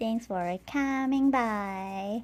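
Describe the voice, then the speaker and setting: A woman's fairly high voice in a Malaysian accent, with ordinary pitch variation. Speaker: live streamer and artist. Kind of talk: casual live stream chat. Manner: halting, repeats words.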